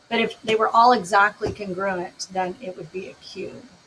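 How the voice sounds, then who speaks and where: Noticeable background noise accompanies a woman's voice. Her intonation is fairly even. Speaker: math teacher. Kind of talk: recorded lesson. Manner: casual.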